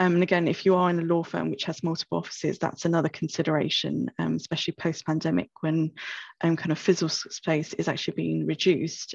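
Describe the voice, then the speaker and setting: A woman with a British accent speaks at a fairly quick pace in a dry sound with no echo against a quiet background. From UK. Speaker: information officer at a law firm. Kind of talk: webinar presentation. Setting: video call.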